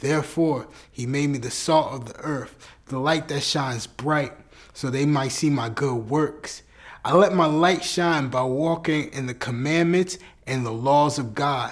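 Pitch varies in an ordinary way at a fairly slow pace. The background is quiet. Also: man, fairly high pitch for a man. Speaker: spoken word performer. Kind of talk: spoken word poetry. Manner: earnest, fervent, rhythmic preaching cadence; solemn, deliberate, declarative. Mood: solemn, devotional.

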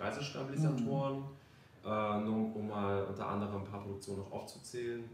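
Amid audible room echo and light background noise, a man with a fairly low pitch speaks at a fairly quick pace, taking long, frequent pauses, with ordinary pitch variation. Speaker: podcast host. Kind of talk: interview question. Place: home room.

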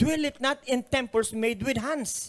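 The man's pitch is extremely high, with ordinary variation. He speaks at a fairly slow pace. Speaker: pastor. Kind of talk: sermon. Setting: live-streamed church service. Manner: earnest, preacherly exhortation, mixing Tagalog and English; repeats phrases, pausing with fillers. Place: church. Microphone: handheld.

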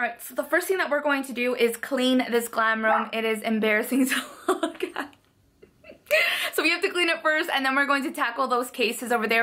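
Speaking very fast, a woman with a high, bright, sharp voice uses ordinary pitch variation against a quiet background. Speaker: lifestyle vlogger. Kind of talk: casual vlog chat. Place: home room. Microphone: phone near.

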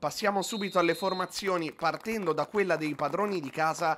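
Sounding excited, a man with a high voice speaks at a moderate pace with ordinary pitch variation. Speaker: sports commentator. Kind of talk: live sports commentary of a youth football match. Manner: excited on goals, with rising intensity.

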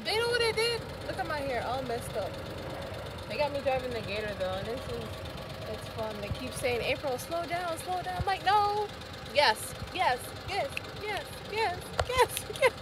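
With a high pitch and very wide pitch swings, a woman speaks with long, frequent pauses in a dry sound with no echo, against noticeable background noise. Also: moderate pace. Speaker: vlogger helping mark a trail. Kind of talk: casual vlog chat. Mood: playful, laughing. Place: open country. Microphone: phone near.

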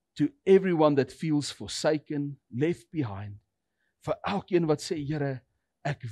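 Recorded dry with no echo and a quiet background, a man has a dark, mellow tone, fairly high pitch and ordinary pitch variation. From South Africa. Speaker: pastor. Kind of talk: sermon. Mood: soft prayerful tone at end. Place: church. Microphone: headset.

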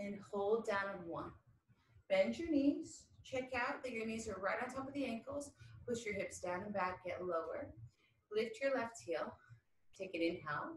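A somewhat breathy woman at a moderate pace, lively in intonation, with long, frequent pauses and audible room echo. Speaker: fitness instructor. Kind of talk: workout instruction. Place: home room. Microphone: camera far.

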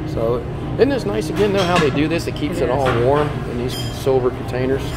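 Loud background noise surrounds a man's voice. He talks at a fairly quick pace with ordinary pitch variation. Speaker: vlogger filming the buffet. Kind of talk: casual vlog chat. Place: hall. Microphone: phone near.

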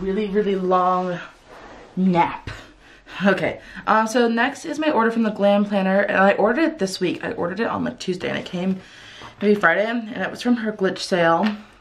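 A woman speaks at a fairly quick pace. Her intonation is lively. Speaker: planner vlogger. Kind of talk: casual haul video. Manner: unenthusiastic, low energy. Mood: chatty, enthusiastic. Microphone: camera far.

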